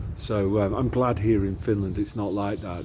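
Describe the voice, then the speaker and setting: A man's fairly low voice with an English accent, ordinary pitch variation and a moderate pace. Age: 60s. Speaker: commentator. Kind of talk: opinion monologue. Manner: halting.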